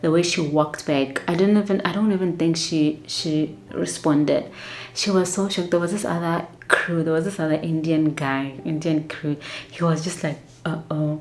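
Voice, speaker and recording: Soft-spoken delivery comes at a moderate pace with fairly even intonation. Background noise is noticeable. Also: woman, fairly low pitch for a woman. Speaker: flight attendant vlogger. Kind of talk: casual storytelling vlog.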